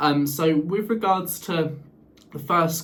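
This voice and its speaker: A man's voice with ordinary pitch variation, audible room echo, and noticeable background noise. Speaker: vlogger. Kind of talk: casual vlog talk. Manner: halting, repeats words and fillers.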